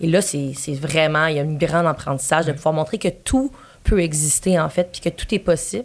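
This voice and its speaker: A woman's very deep, low voice, fairly quick, with ordinary pitch variation. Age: 20s. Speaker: volunteer speaker for LGBTQ+ organization. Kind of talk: casual interview.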